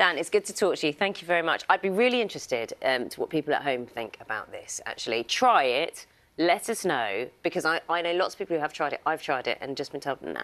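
A woman with a fairly low pitch races along at a very fast pace with hardly any pauses, her voice making very wide pitch swings. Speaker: breakfast TV news presenter. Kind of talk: TV news interview. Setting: studio. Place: studio.

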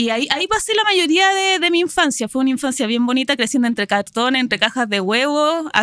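Speaking fairly quickly with hardly any pauses, a woman with a Chilean accent uses a high pitch, very wide pitch swings and a bright, sharp tone at very even loudness, in a dry sound with no echo over a quiet background. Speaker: marketing professional and university lecturer; university lecturer. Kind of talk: interview. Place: studio. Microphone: studio mic.

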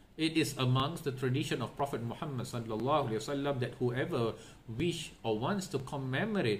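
This man's voice is somewhat breathy, with light noise in the background. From Singapore. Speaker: Islamic religious teacher; religious teacher. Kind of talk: religious lecture. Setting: online session. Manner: repetitive, with fillers.

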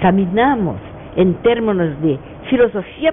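A woman talks over light background noise. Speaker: guest. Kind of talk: interview answer. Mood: earnest, engaged. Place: studio. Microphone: lapel.

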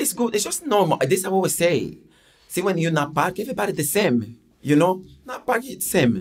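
A man speaks with a high pitch and lively intonation. His pace is fairly quick. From Angola, raised in Portugal from age 10. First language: Portuguese. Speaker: ex-footballer; podcast guest. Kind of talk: casual chat. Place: studio. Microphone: studio mic.

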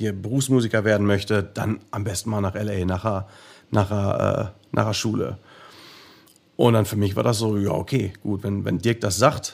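A man talks at a fairly slow pace in a normal speaking voice. His pitch is fairly low and his intonation fairly even. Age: 30s. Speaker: professional drummer. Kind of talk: interview. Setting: remote recording late at night.

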